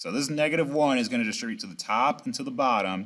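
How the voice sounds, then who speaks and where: A man talks at a very fast pace with a fairly high pitch. His voice swings very widely up and down. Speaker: math teacher. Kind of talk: lecture.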